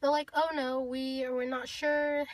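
Over light background noise, a woman with a high pitch talks at a moderate pace in a dry sound with no echo. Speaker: beauty vlogger. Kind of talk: casual vlog chat. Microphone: phone near.

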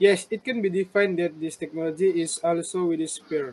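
Over light background noise, a man speaks at a moderate pace with a high pitch and ordinary pitch variation. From Malaysia, Sabah. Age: 30s. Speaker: university student interviewer. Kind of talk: class assignment interview. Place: home room. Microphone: video call.

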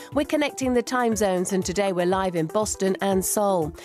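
A woman speaks at a moderate pace with lively intonation. The sound is dry with no echo, and clear music plays in the background. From Britain. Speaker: broadcast journalist and presenter. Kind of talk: radio news programme presentation. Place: studio.

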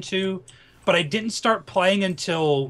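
A man speaks in a raised, projected voice. His pitch is high, with ordinary pitch variation. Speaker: gaming livestream co-host. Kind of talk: casual livestream chat.

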